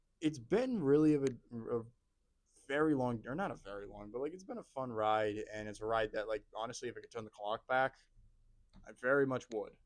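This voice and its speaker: An ordinary speaking voice from a man, medium in pitch with ordinary pitch variation, at a fairly quick pace with big swings in loudness. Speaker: college student and amateur actor. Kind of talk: casual chat.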